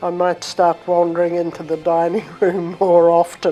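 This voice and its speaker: Speaking in a New Zealand accent, a woman talks at a medium pitch and moderate pace over noticeable background noise. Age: 80s+. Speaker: retirement village resident. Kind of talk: interview.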